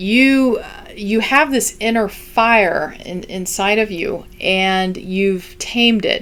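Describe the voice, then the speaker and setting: Her medium-pitched voice varies in pitch in an ordinary way as the woman speaks. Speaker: tarot reader. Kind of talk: tarot reading to camera. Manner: halting, many fillers; warm, animated.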